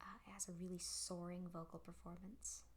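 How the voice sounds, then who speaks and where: The voice is soft-spoken and moves at a moderate pace. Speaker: progressive rock record collector. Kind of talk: soft-spoken ASMR talk about records.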